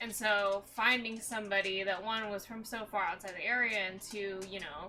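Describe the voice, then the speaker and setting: Soft-spoken and moderately paced, a woman talks at a medium pitch. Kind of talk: casual chat.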